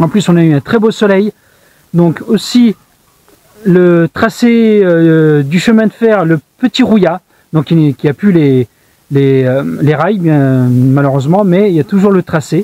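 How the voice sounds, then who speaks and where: Pausing long and often, a man with a high pitch speaks at a very slow pace with very even loudness. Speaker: hiking vlogger. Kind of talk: vlog narration. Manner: whispering in church; soft-spoken.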